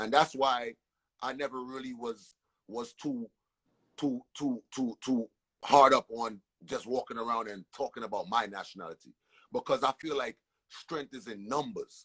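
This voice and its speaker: A man with an American accent speaks in an animated tone at a moderate pace and medium pitch, with ordinary pitch variation and big swings in loudness. Long, frequent pauses break up his speech, and the sound is dry and close with no echo. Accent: New York with Caribbean inflection. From Brooklyn, New York, Caribbean family. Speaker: entertainer. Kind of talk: casual interview storytelling. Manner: animated, repetitive stammering.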